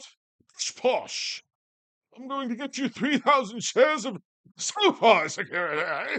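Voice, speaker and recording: A put-on character voice with a fairly high pitch delivers its lines at a fairly slow pace. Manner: pompous, condescending.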